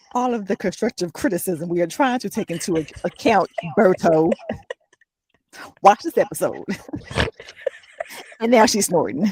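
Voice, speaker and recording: Her intonation is lively, at a medium pitch for a woman and a moderate pace. Long, frequent pauses break up her speech, and the sound is dry and close with no echo. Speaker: podcast co-host. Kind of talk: casual chat. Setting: in a car. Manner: loud.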